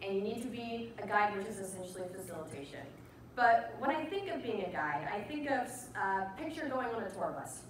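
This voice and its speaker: The voice moves at a fairly quick pace with very wide pitch swings. Room echo is audible, along with light background noise. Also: woman, fairly high pitch for a woman. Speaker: conference speaker, designer. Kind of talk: casual, energetic presentation. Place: stage. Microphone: camera far.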